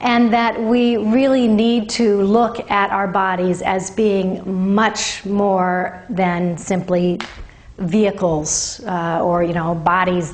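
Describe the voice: In a room with audible echo, a woman speaks at a slow pace with little pitch movement and few pauses.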